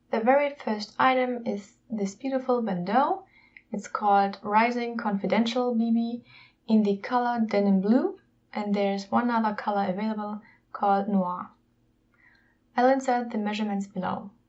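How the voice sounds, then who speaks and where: A woman's fairly high voice with a non-native accent and ordinary pitch variation. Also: moderate pace. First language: not English. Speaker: YouTuber, luxury unboxing. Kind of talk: unboxing video, casual presentation.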